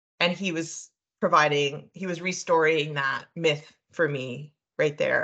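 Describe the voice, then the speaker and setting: A woman with a very deep, low pitch and a bright, sharp tone, fairly slow and fairly even in intonation, over a quiet background. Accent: Canadian. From Eastern Canada, New Brunswick. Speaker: professor and social worker. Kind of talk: interview conversation.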